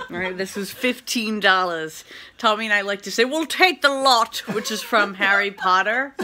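A woman speaks with ordinary pitch variation over light background noise. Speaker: vlogger. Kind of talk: casual vlog chat. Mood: cheerful, laughing. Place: kitchen. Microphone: phone near.

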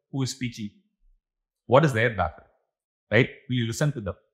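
At a moderate pace, a man speaks at medium pitch with a slightly husky edge and ordinary pitch variation.

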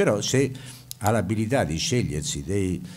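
With very wide pitch swings, a man speaks at a moderate pace and a fairly low pitch. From Italy. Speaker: university professor and administrator. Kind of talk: welcome address at an event. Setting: stage with audience. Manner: formal. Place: hall. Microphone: podium.

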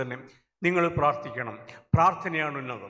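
With a high pitch, a man talks while his pitch varies in an ordinary way. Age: 70s. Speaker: retired judge, public speaker. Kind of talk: speech at a church gathering.

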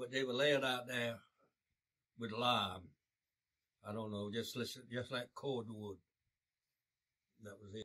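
Against a quiet background, a man with a bright, sharp tone talks at a fairly slow pace with fairly even intonation. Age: 80s+; old. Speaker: war veteran. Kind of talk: oral history interview answer. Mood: grave, somber recollection. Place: home room.

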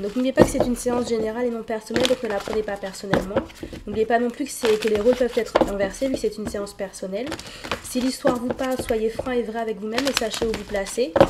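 Against faint background noise, a woman speaks at a fast pace with a fairly high pitch, a dark, mellow tone and fairly even intonation.

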